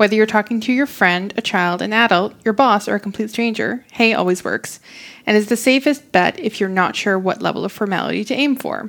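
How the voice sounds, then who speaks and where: Fairly high in pitch, a woman talks in a plain, everyday voice with ordinary pitch variation. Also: fairly quick pace. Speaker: podcast co-host. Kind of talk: casual chat.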